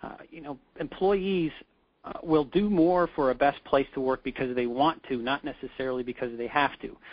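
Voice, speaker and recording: Big swings in loudness mark this man's fairly high-pitched voice, which has ordinary pitch variation. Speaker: webinar presenter. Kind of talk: webinar presentation. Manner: fast; many filler words and hesitations.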